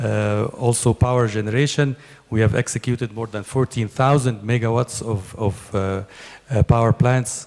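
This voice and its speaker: Keeping a fairly even intonation, a man of medium pitch speaks at a moderate pace. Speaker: company executive. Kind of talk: conference presentation. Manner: hesitant, many fillers.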